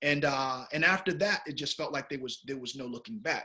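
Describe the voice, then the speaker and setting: Bright, sharp male voice, fairly high in pitch, with ordinary pitch variation at a very fast pace. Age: 40s. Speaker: film director. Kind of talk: interview.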